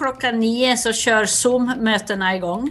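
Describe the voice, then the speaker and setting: A woman with a Dalarna accent, a bright, sharp tone and ordinary pitch variation. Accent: Dalarna dialect, noticeable. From Sweden, Västerdalarna (Dalarna). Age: 60s. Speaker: cultural institute director. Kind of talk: interview.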